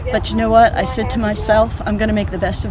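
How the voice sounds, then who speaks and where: A woman speaks with crowd noise in the background. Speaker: landscape photographer. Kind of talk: interview answer.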